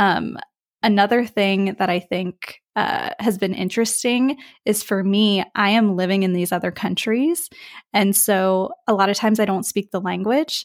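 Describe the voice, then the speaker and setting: In an ordinary speaking voice with an American accent, a woman talks at a medium pitch and moderate pace, with ordinary pitch variation and very even loudness, on a very clean recording with a silent background. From US, West Virginia. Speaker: brand designer, studio founder. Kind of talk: interview conversation.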